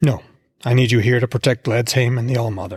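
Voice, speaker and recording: A raspy, put-on character voice at a very fast pace. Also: man. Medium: read story. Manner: commanding, curt.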